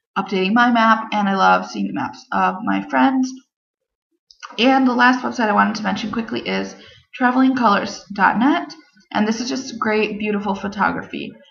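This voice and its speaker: A woman talks at a medium pitch and a moderate pace. There is audible room echo. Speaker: travel vlogger. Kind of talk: casual vlog talk to camera. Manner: enthusiastic.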